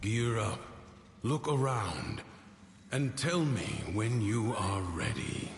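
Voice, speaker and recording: A man's put-on character voice in a solemn tone, medium in pitch, very slow with long, frequent pauses, over clear background noise with slight echo. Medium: video game. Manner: measured, solemn.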